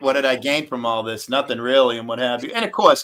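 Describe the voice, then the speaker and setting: Speaking fairly quickly with an American accent, a man has an unremarkable speaking voice at medium pitch with fairly even intonation. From Massachusetts, US. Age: 60s. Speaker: live streamer. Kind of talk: casual chat. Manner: rambling, filler-heavy.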